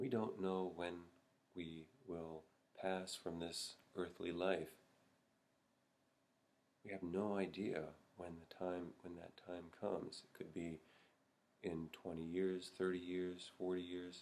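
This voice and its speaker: A man with a very deep, low pitch talks at a very slow pace in a monotone, flat intonation, with big swings in loudness and long, frequent pauses. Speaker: Zen meditation teacher. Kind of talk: Buddhist dharma talk to camera. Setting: Zen monastery. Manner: slow, reflective. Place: home room. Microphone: webcam.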